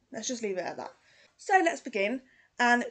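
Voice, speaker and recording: A woman's high-pitched voice with a British accent and lively intonation. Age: 30s. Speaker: true crime YouTuber. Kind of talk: casual true crime narration. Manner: conversational.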